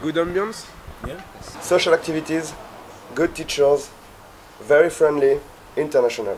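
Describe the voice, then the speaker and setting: In a French accent, a man with a fairly high pitch and ordinary pitch variation talks at a moderate pace, his loudness swinging widely. Long, frequent pauses break up his speech against light background noise. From northern France. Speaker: engineering student. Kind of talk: testimony. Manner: halting. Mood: relaxed, positive. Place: garden.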